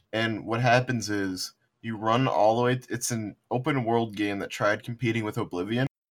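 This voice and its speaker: A man with an unremarkable speaking voice talks at a moderate pace, at a medium pitch, with fairly even intonation. The recording is very clean, with a silent background. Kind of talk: casual chat.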